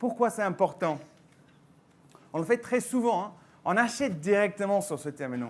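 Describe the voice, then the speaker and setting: A man speaks with a slight English accent. His pace is moderate and his intonation lively. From England. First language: English (speaking French). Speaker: tech company mobile solutions manager. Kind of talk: conference presentation. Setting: stage with audience.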